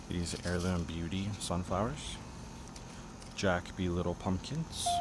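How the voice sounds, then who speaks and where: The man's pitch is very deep and low, with fairly even intonation. He speaks at a very slow pace. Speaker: gardening YouTuber. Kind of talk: casual gardening tutorial. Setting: outdoors in backyard garden, early morning.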